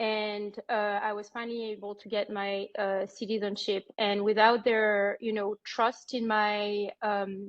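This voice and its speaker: A woman with a French accent at a medium pitch, monotone and flat, fairly slow with hardly any pauses, with big swings in loudness. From France. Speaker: banker. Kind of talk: career information session. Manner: halting.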